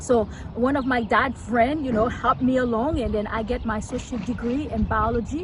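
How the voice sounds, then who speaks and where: A woman's high-pitched voice with a Haitian accent, over noticeable background noise. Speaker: local politician. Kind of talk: interview. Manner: fast.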